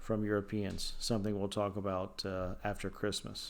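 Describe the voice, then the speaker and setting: There is audible room echo as a man of medium pitch speaks at a moderate pace. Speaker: high school history teacher. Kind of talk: recorded lecture. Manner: many fillers (uh, um).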